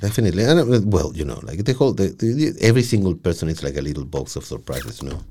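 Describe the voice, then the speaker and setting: A man with a very deep, low pitch and a dark, mellow tone speaks at a very fast pace with vocal fry. He has very wide pitch swings, big swings in loudness and hardly any pauses. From Chile. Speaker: podcaster. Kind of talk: casual chat. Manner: repeats words, halting starts.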